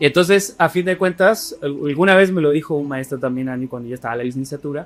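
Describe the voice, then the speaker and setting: The speaker is a man with a fairly high pitch. He goes at a very fast pace with ordinary pitch variation. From Chile. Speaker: history lecturer and podcast co-host. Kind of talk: casual podcast chat.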